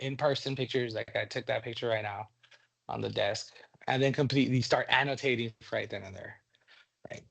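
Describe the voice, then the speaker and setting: The loudness rises and falls in big swings. Long pauses come often. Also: man, fairly quick pace. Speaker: teacher leading a training session. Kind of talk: workshop presentation. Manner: fast; casual, with fillers and repetitions.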